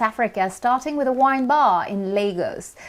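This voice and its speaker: A high-pitched woman's voice at a moderate pace, with lively intonation. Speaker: journalist. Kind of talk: news interview narration.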